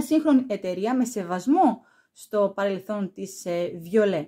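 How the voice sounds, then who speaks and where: Against a quiet background, a woman speaks fairly slowly in a fairly high pitch with ordinary pitch variation. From Greece. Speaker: perfume YouTuber; perfume reviewer. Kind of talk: product review vlog. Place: home room.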